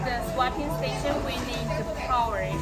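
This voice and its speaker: Someone speaks at a fairly slow pace while loud music plays in the background. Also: woman. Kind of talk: tutorial. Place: shop.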